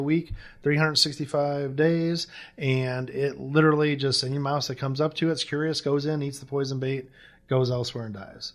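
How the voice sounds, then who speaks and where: A fairly high-pitched man with an American accent and fairly even intonation. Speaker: pest control business owner. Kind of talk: casual interview chat. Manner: fast.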